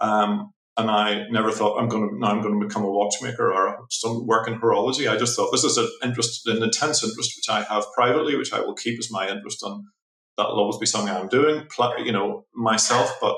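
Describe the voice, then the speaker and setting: A man talks in a Northern Irish accent. His pace is very fast. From Northern Ireland, Belfast. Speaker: watchmaker. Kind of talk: interview conversation. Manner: halting, many repetitions.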